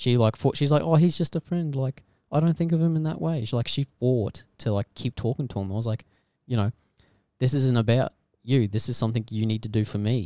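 The speaker talks at a fairly quick pace in a dark, mellow tone with ordinary pitch variation, captured in a very clean, dry, close recording with a silent background and no echo. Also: man, medium pitch for a man. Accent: Australian. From Australia. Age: 20s. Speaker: friend of the host. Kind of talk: casual chat.

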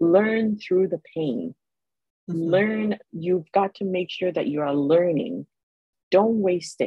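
A woman speaks very slowly at a medium pitch with ordinary pitch variation while music plays in the background. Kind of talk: casual interview conversation.

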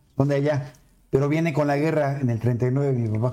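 This man's voice is fairly high in pitch, with a dark, mellow tone, fairly even intonation and a moderate pace. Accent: Mexican. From Mexico City. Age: 60s. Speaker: politician and civil engineer. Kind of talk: casual chat.

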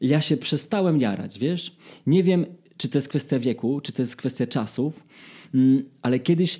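Long, frequent pauses break up this dark, mellow voice, which moves at a moderate pace with lively intonation. The recording is very clean and the background silent. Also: man. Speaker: podcast host, singer. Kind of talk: casual chat.

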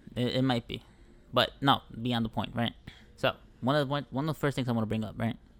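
A man with an American accent talks very fast in a monotone, flat intonation. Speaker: podcast co-host. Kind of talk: casual chat.

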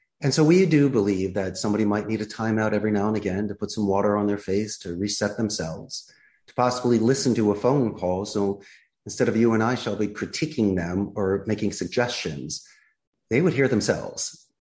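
A man talks at a fairly quick pace. He has a Philadelphia accent. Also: fairly low pitch for a man, ordinary pitch variation. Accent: Philadelphia American. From US Northeast, Philadelphia. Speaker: call center CEO. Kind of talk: interview.

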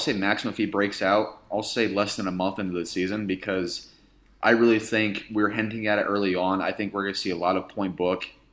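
A man speaks with an unremarkable speaking voice and fairly low pitch. His pace is fairly quick and his intonation fairly even. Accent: American. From US Midwest, Indiana. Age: 20s. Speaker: sports reporter and podcast host. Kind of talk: casual chat.

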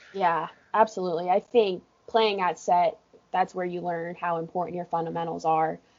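A woman talks at a moderate pace with a fairly low pitch. Hers is a plain, everyday voice with fairly even intonation. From California. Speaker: college water polo coach. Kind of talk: casual interview. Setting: office at pool deck.

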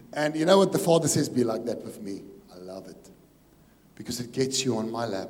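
Here a man talks at a fairly quick pace, broken by long, frequent pauses. His pitch swings very widely and his loudness shifts a lot. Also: medium pitch for a man. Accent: South African. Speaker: pastor. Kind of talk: sermon. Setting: church.

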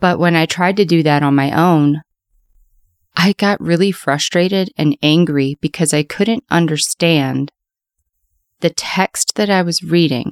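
Here is a woman with an ordinary speaking voice and a fairly low pitch. Her pitch variation is ordinary, and her loudness is very even. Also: fairly slow pace. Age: 30s. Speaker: podcast host. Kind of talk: personal testimony monologue.

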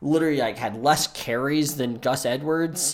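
A man speaks with an American accent in an ordinary speaking voice. His pace is moderate and his pitch variation ordinary. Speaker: NFL podcast co-host, software engineer. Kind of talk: casual sports chat.

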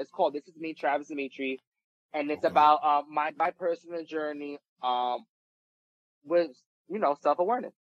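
With a New York accent, a man talks at a fairly high pitch with ordinary pitch variation. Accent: New York (Bronx). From New York, the Bronx. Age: 20s. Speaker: reality TV personality and musician. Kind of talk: casual interview chat.

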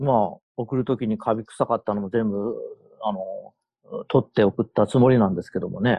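In an ordinary speaking voice, a man talks at a moderate pace and medium pitch with ordinary pitch variation and big swings in loudness. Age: 60s. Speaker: camper with 30+ years experience. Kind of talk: casual interview chat.

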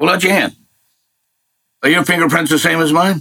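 A man talks at a fairly quick pace in a fairly high pitch, with ordinary pitch variation. His tone is bright and sharp, with vocal fry. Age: 60s. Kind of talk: casual spiritual conversation.

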